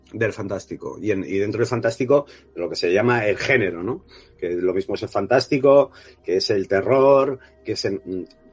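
This man's medium-pitched voice carries ordinary pitch variation and keeps a moderate pace. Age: 40s. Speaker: film director. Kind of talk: interview. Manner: halting, many repetitions and fillers.

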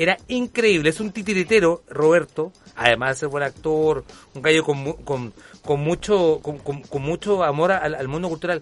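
At a moderate pace, a man with a fairly high pitch speaks in an animated tone with ordinary pitch variation. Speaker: radio talk show host. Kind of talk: casual chat. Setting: studio.

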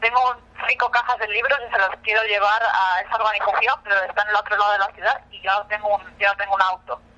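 A woman talks at a very fast pace with a Spanish accent. Her pitch is fairly high and her intonation fairly even. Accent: Spanish (Spain). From Spain. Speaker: nonprofit program coordinator. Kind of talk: interview. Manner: hesitant, many fillers.

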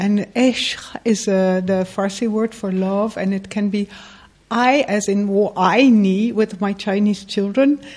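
The speech moves at a fairly slow pace, with noticeable background noise present. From Netherlands. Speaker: writer and journalist. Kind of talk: panel interview.

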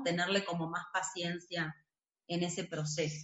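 With an Argentine accent, a woman speaks at a fairly slow pace with fairly even intonation. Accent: Rioplatense Argentine Spanish. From Buenos Aires, Argentina. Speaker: movement teacher. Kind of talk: interview.

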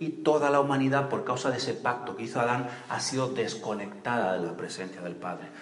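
A man at medium pitch, fairly quick and animated, with lively intonation, hardly any pauses, and noticeable background noise. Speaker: preacher. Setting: church. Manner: animated, conversational, humorous asides, asks the crowd questions and waits for answers.

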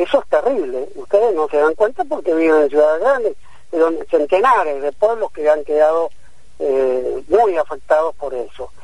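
Lively intonation marks this man's speech. His pitch is high and his pace moderate. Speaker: physician and researcher. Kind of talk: radio interview.

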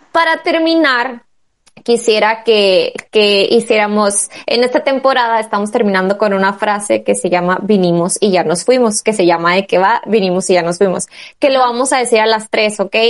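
At a moderate pace, a woman speaks in a normal speaking voice with fairly high pitch, ordinary pitch variation and very even loudness. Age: 20s. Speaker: podcast host. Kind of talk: casual chat.

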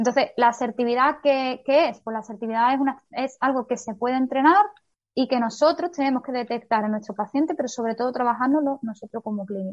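A woman talks very fast in a high voice. Her pitch varies in an ordinary way. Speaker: physiotherapist. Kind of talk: interview.

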